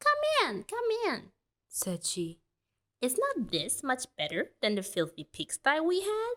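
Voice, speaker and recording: The speaker puts on a character voice and moves at a fairly slow pace. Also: female-sounding voice, high pitch for a woman. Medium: read story. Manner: bossy, demanding.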